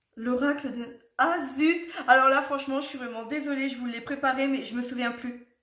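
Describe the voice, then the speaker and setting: A woman speaks at a high pitch and moderate pace with hardly any pauses. Her intonation is fairly even, but her loudness swings a lot. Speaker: tarot card reader. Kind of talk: tarot reading video. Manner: chatty, rambling.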